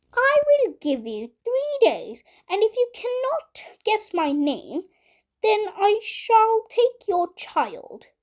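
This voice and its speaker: In a put-on character voice pitched extremely high, a woman speaks at a very slow pace. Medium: read story. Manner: sly, bargaining.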